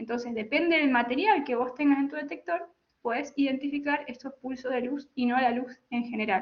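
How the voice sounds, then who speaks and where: A woman talks in a high pitch at a moderate pace. Her pitch variation is ordinary. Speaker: telecommunications engineer. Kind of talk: technical lecture. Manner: halting with self-corrections.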